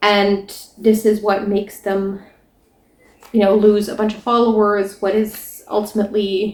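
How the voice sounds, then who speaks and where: The woman speaking has a non-native accent. Her pitch is fairly high. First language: not English. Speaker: book reviewer. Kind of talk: casual book discussion.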